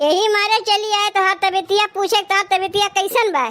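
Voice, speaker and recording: This is a cartoonish character voice. It moves at a moderate pace with fairly even intonation. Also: woman, extremely high pitch for a woman. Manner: coaxing, persistent.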